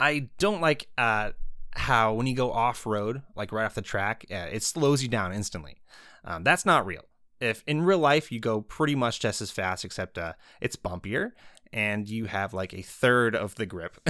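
In a very clean recording with a silent background, a man speaks at a medium pitch and moderate pace with lively intonation and a bright, sharp tone. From New England. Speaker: car YouTuber. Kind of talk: casual banter, podcast chat.

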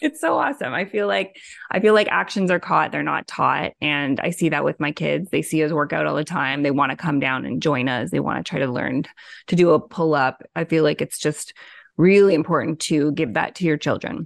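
A woman's very deep, low voice with vocal fry, ordinary pitch variation and a fairly quick pace, in a dry, close recording with no echo and a quiet background. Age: 40s. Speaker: podcast host and fitness publisher. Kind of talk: interview.

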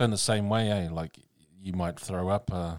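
A New Zealand accent at a moderate pace. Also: man, dry, close sound with no echo, very clean recording, silent background. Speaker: podcast host, minister. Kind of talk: casual chat. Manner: hesitant, many fillers.

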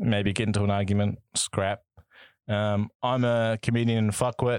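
On a very clean recording with a silent background, a man with a New Zealand accent speaks at a medium pitch and a fairly slow pace. His intonation is monotone and flat, and the sound is dry and close with no echo. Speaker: podcast co-host. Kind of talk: casual chat.

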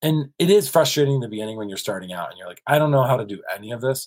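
With an American accent, a man speaks at medium pitch with lively intonation and a somewhat breathy quality. The recording is very clean, with a silent background. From US South (South Carolina and Kentucky). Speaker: cinematographer. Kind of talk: casual interview.

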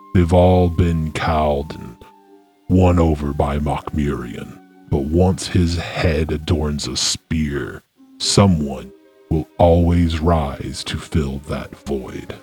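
Over faint background music, a man uses a put-on character voice with a very deep, low pitch and a very slow pace. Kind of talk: fantasy roleplay. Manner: solemn, grave, formal.

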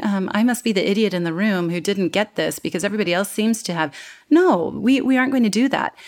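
Here a woman speaks in a normal speaking voice with an American accent. Her pitch is medium and her intonation lively. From United States. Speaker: communication coach. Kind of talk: interview conversation.

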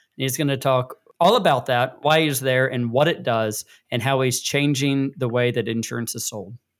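Here a man speaks at a moderate pace in a medium pitch, with ordinary pitch variation and a plain, everyday voice. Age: 40s. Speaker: podcast co-host. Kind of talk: casual chat.

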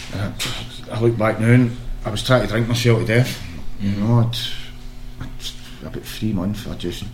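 A man with a Glaswegian accent, medium pitch, monotone, flat intonation and a moderate pace, over noticeable background noise. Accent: Glaswegian Scottish. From Scotland, Glasgow area. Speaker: former footballer, charity founder. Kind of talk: casual chat.

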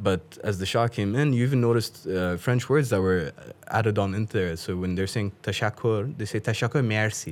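At a fairly quick pace, a man with an Afghan accent speaks in a fairly low pitch with ordinary pitch variation. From Pakistan. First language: Dari. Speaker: guest who does accent impressions. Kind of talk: casual chat. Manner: animated.

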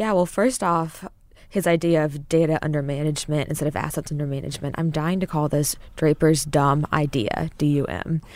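Ordinary pitch variation at a fairly quick pace, on a very clean recording with a silent background. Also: woman, very deep, low pitch for a woman. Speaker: financial news reporter. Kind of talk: casual conversation.

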